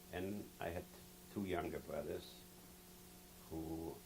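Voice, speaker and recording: A man speaks in a very deep, low voice at a very slow pace. Audible room echo surrounds him. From Poland, Lodz. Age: 70s. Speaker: Holocaust survivor. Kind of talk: testimony. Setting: recorded interview.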